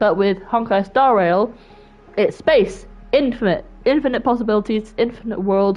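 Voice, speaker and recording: A woman with a Welsh accent, fairly high in pitch with ordinary pitch variation, at a moderate pace and very even loudness, music in the background. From Wales. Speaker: gaming streamer. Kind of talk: casual chat.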